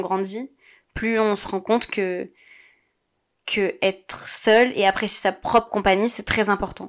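A woman speaks at a fairly slow pace. Her voice sits at medium pitch with fairly even intonation. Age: 20s. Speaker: podcast host. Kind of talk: personal monologue. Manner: hesitant, with repetitions.

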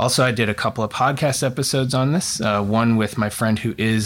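A man talks at a moderate pace in a normal speaking voice, medium in pitch with fairly even intonation. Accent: American. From Oregon, US. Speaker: college counselor and former admissions counselor. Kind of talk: casual chat.

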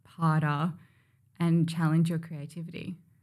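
A woman with an Australian accent speaks in a fairly low, monotone, flat voice. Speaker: beauty brand founder. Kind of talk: casual chat.

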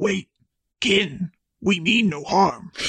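This is a put-on character voice. Its pitch sits in the middle range. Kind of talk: 1950s movie gangster.

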